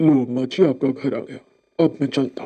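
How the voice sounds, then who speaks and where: A man's cartoonish character voice at medium pitch, very fast pace and fairly even intonation. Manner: gentle, polite.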